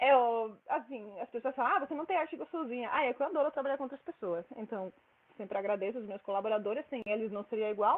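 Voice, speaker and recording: Very fast, lively speech from a woman with a fairly high voice and a Spanish accent. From Spain. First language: Spanish (speaking Portuguese). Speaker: mathematics researcher. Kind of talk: lecture. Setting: seminar room with audience.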